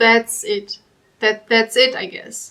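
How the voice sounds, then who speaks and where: A fairly high-pitched woman's voice with a German accent. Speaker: commentary youtuber. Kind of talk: reaction commentary.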